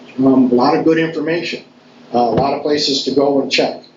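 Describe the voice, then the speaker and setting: Speech at a very fast pace with fairly even intonation comes through audible room echo and noticeable background noise. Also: man. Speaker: town board official. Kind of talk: public meeting remarks. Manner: halting, many fillers.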